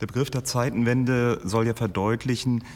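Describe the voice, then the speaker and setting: This man has an unremarkable speaking voice with a medium pitch. He talks at a moderate pace. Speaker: historian. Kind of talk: interview.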